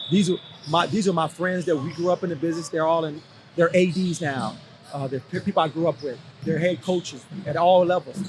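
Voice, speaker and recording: Music plays in the background as a man with a high pitch talks at a fairly quick pace, his intonation fairly even. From Los Angeles (Compton), California. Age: 50s. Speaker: basketball coach. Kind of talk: podcast interview. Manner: casual, conversational with fillers.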